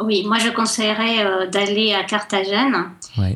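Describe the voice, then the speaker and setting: A woman's medium-pitched voice, fairly even in intonation, comes through noticeable background noise. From Colombia, Cali. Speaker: guest. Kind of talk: radio interview.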